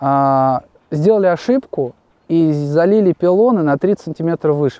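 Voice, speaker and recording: A man's high-pitched voice, dark and mellow in tone, with a dry sound and no echo. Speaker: guest. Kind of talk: interview answer, storytelling. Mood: relaxed, amused anecdote. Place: open country.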